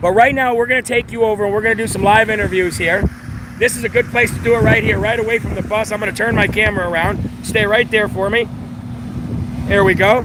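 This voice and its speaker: Noticeable background noise surrounds this recording of a man. He talks at a very fast pace in a high voice. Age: 40s. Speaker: traveling show host interviewing people. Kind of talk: street interview. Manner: animated.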